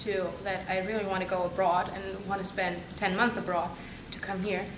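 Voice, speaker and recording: A woman at a medium pitch in a monotone, flat intonation, with audible room echo and noticeable background noise. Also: moderate pace. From northern Germany. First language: German. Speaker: international student and teaching assistant. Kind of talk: interview. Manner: hesitant, with fillers.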